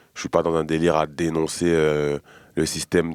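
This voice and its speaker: At a very deep, low pitch, a man speaks in a monotone, flat intonation at a moderate pace, the sound dry and close with no echo. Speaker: rapper. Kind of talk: interview. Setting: studio. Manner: halting, many fillers.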